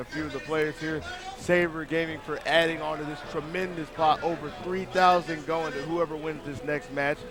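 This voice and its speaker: With noticeable background noise behind him, a man talks at a moderate pace in a fairly high pitch and fairly even intonation. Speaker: esports commentator. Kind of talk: live commentary. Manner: loud.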